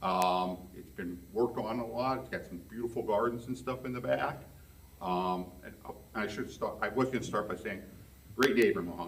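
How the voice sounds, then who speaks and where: Moderate pace, lively intonation and big swings in loudness, with audible room echo. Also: man, fairly low pitch for a man. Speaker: resident speaking at public hearing. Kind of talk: public comment at zoning meeting. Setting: public meeting room. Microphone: speaking without microphone.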